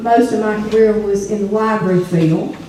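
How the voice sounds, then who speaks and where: A woman with a North Carolina accent talks at a moderate pace in a fairly high pitch with monotone, flat intonation, with audible room echo and noticeable background noise. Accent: North Carolina Southern. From US South, North Carolina (Hillsborough mill village). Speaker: retired librarian, panelist. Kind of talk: panel talk. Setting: church program with audience. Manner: halting, many fillers.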